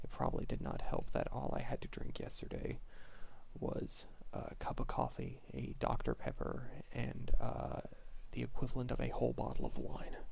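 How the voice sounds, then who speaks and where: A soft-spoken man at a moderate pace, with audible room echo. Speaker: video game streamer. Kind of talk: casual gameplay livestream chat. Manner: soft-spoken, keeping voice down; many fillers, hesitant.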